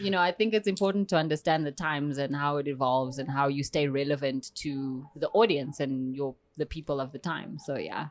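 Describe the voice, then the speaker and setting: A woman with a South African accent, very deep and low in pitch, at a fairly quick pace with hardly any pauses and ordinary pitch variation. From South Africa, Eastern Cape. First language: Xhosa. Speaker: poet and performance artist. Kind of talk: podcast interview.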